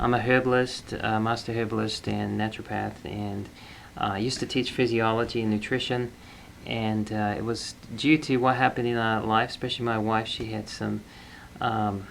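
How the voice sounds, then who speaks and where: A man talks at a moderate pace in an Australian accent. His intonation is monotone and flat. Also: medium pitch for a man. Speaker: herbalist. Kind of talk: interview. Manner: halting, many fillers.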